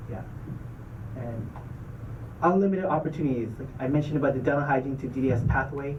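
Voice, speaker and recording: A man's fairly high pitch with ordinary pitch variation, a very fast pace broken by long, frequent pauses, plus audible room echo and noticeable background noise. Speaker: dental school admissions officer. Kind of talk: presentation to student club.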